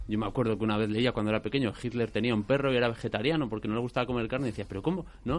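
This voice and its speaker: A man speaks very fast at a medium pitch, with ordinary pitch variation and hardly any pauses. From Basque Country. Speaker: actor. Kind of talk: interview. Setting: studio.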